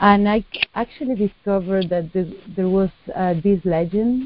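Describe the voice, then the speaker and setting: A woman with a Spanish accent, a fairly slow pace and ordinary pitch variation. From southern Spain (Cádiz). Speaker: artist. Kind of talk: interview. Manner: hesitant, many fillers.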